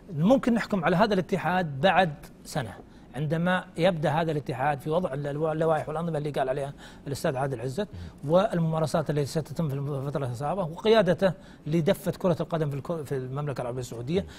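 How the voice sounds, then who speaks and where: There is light background noise as a man talks at a fairly quick pace, his fairly high pitch showing ordinary variation. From Saudi Arabia. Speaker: sports commentator. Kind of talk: TV studio discussion. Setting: studio. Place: studio. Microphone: lapel.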